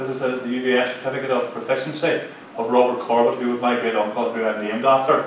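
A man with a Mid Ulster accent talks very fast in a monotone, flat way, with audible room echo and light background noise. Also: medium pitch for a man. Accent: Mid Ulster Northern Irish. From Northern Ireland, County Tyrone; Northern Ireland. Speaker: local historian; lecturer on local war history. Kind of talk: lecture. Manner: halting. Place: hall. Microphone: camera far.

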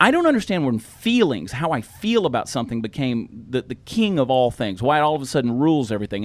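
This man speaks very fast in an animated tone with a Southern US accent. His fairly high pitch swings very widely. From US South. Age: 40s. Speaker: comedian and podcast co-host. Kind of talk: casual chat. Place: studio. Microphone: studio mic.

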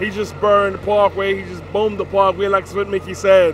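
A man's high-pitched, monotone, flat voice over light background noise. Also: dry sound with no echo. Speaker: event host interviewer. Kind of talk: casual chat. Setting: outdoors. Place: street. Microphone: handheld.

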